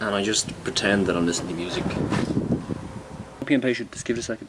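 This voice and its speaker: Someone speaks with an Irish accent over noticeable background noise. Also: man. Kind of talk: comedy sketch, talk to camera. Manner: hesitant, rambling.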